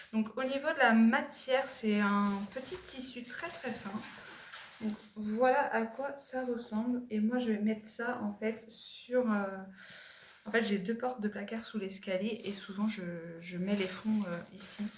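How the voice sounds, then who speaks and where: A woman talks at a very slow pace, her pitch fairly high with ordinary variation. Noticeable background noise and audible room echo fill the recording. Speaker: lifestyle vlogger and mother. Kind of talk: product haul vlog. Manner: hesitant, many fillers.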